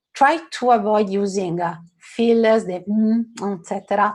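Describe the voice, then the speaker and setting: Very slow delivery, somewhat breathy. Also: woman. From Italy. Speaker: workshop facilitator, physicist. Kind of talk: lecture. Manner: many fillers, hesitant.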